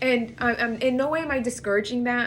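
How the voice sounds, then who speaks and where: A woman speaks with vocal fry. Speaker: astrologer and tarot reader. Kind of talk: channeled horoscope reading to camera. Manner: fast; casual, rambling with restarts.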